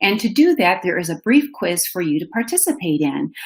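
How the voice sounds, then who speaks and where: In a Minnesotan accent, a woman talks at a moderate pace with very wide pitch swings. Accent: Minnesota. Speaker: education manager and webinar host. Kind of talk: webinar presentation. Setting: online webinar. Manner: animated.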